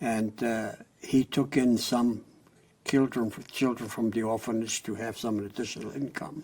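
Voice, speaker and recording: In a German accent, a man talks with fairly even intonation. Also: medium pitch for a man. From Germany, near Frankfurt. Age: 80s+. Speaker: Holocaust survivor. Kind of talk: oral history interview.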